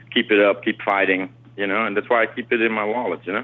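A man's fairly low-pitched voice holds fairly even intonation against noticeable background noise. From Netherlands (Amsterdam) and South America. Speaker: DJ and music producer. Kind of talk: interview. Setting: phone call. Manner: halting.

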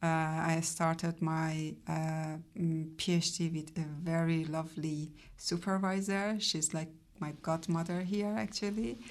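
This woman has a Persian accent and a fairly low pitch. Her intonation stays fairly even. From Iran. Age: 40s. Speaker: activist and PhD student. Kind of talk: radio interview. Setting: radio studio.

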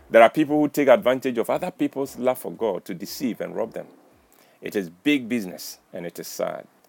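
With vocal fry and lively intonation, the speaker moves at a fairly quick pace in a dry, close sound with no echo. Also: man, medium pitch for a man. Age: 60s. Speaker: commentator sharing life lessons. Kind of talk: reflective monologue.

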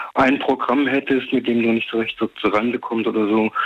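The man's delivery holds to a moderate pace. Noticeable noise fills the background. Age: 60s. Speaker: radio caller. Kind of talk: phone-in discussion. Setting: phone call.

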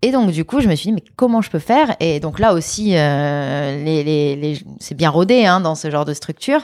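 A woman with a very deep, low voice speaks at a moderate pace with lively intonation. The recording is very clean with a silent background. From France, Lyon. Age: 30s. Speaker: former student activist. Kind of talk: interview. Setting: at her home.

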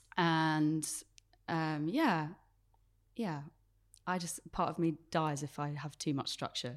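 Very slow speech with long, frequent pauses and fairly even intonation comes through on a very clean recording with a silent background. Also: woman, very deep, low pitch for a woman. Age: 20s. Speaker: church worship leader. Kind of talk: casual chat.

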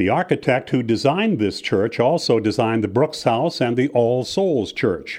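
A plain, everyday voice from a man, lively in intonation, at a moderate pace against a quiet background. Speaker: walking tour guide. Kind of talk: scripted walking-tour narration, read aloud. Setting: studio recording. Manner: measured, formal, even-paced; reads out building names and dates like a catalogue.

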